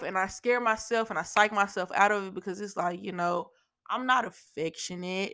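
A woman speaks in an animated, bright, sharp tone in a very clean recording over a silent background. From Louisiana, Shreveport. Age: 20s. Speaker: podcast host. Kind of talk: casual solo podcast monologue. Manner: repetitive stammering.

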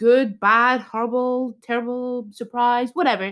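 The voice has an Irish accent and a bright, sharp, animated tone at a moderate pace. The recording is very clean with a silent background. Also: woman. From Ireland. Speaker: podcast host. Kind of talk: casual chat.

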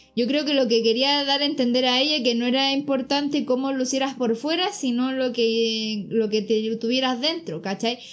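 A woman speaks with a high pitch and very even loudness at a moderate pace, using ordinary pitch variation and hardly any pauses. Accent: Chilean. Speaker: podcast co-host. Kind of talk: casual chat.

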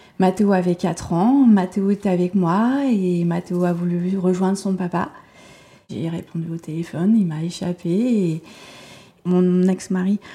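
At a fairly slow pace, a woman with a plain, everyday voice talks at a medium pitch with fairly even intonation. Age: 40s. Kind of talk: interview at home.

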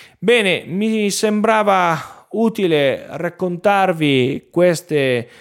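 Lively intonation marks this man's voice on a very clean recording with a silent background. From northern Italy, Piedmont (Lake Orta area). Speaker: marketing agency owner and teacher. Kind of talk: solo podcast monologue. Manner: hesitant, frequent filler sounds.

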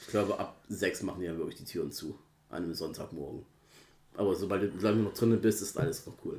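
Talking at a very fast pace, a man with a fairly low pitch and a dark, mellow tone shows ordinary pitch variation and big swings in loudness. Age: 30s. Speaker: podcast co-host. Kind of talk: casual chat.

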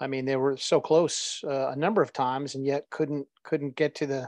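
Against a quiet background, a man with a fairly high pitch speaks flatly at a moderate pace, the sound dry and close with no echo. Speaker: podcast co-host. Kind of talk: casual chat.

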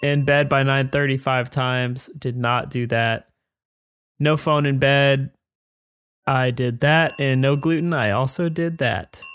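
A man speaks in an ordinary speaking voice at a fairly high pitch and fairly slow pace with fairly even intonation, on a very clean recording with a silent background. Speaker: podcast host. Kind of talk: casual chat.

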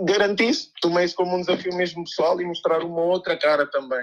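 High-pitched male speech with fairly even intonation. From Guinea-Bissau, moved to Coimbra at 12. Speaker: DJ and music producer. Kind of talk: casual interview. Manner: halting, many repetitions.

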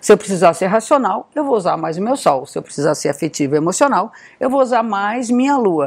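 Her pitch is medium, and this woman talks at a fairly quick pace. She swings her pitch very widely. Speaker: astrologer. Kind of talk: talking-head video.

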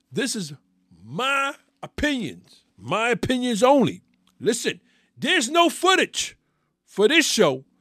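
A man's extremely high-pitched, raised and projected voice in a New York accent, bright and sharp in tone, with very wide pitch swings, a fairly slow pace and long, frequent pauses. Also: dry, close sound with no echo, very clean recording, silent background. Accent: New York City. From New York City. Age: 50s. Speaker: sports podcast host. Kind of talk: solo sports commentary.

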